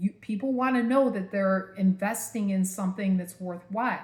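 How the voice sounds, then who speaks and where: A woman with an American accent, medium-pitched and somewhat breathy, at a moderate pace with fairly even intonation. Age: 50s. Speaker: vlogger. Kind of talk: personal vlog. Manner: casual, filler-heavy.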